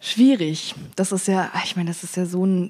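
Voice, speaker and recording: A woman speaks in a plain, everyday voice at a moderate pace and medium pitch, with fairly even intonation. The recording is very clean, with a silent background. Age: 20s. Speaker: social media activist. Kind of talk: interview.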